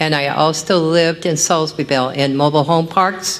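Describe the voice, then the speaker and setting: A woman with an American accent speaks at a moderate pace in a very deep, low pitch. Her intonation stays fairly even over noticeable background noise. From California, Central Valley foothills. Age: 70s. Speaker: public commenter. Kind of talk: public comment at a meeting. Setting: county board meeting.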